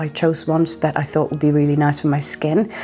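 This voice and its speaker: A woman with a Norwegian accent. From Norway. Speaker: skincare vlogger. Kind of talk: product review vlog.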